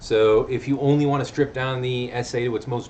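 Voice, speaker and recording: A man talks at a fairly quick pace and a medium pitch. Audible room echo surrounds his voice. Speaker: college English teacher. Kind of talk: video lecture. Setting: recorded video lesson. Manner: fast; casual.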